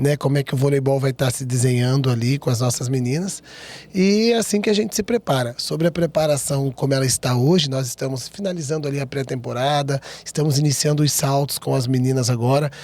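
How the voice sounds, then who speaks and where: A fairly high-pitched male voice at a fairly quick pace, with ordinary pitch variation. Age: young. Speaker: volleyball coach. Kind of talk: interview. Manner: fast.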